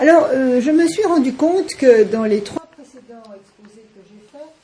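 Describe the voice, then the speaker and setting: A woman talks at a fairly slow pace. Her pitch swings very widely, and audible room echo fills the recording. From France, Paris. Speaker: author and lecturer. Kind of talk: talk at a round table. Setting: university lecture room with audience. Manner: halting with many fillers.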